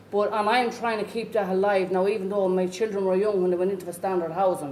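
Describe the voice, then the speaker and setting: With a rural Irish accent, a woman speaks at a very fast pace and a medium pitch. Noticeable background noise and audible room echo surround her voice. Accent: rough Irish country. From rural Ireland, Irish Traveller community. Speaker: Traveller community education worker and parent. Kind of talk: conference talk. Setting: conference.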